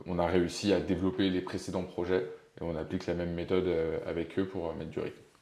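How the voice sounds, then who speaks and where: Over noticeable background noise, a man delivers his words at a very fast pace in a very deep, low pitch with monotone, flat intonation. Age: 20s. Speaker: startup investor and co-founder. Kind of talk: casual interview. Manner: hesitant, many fillers.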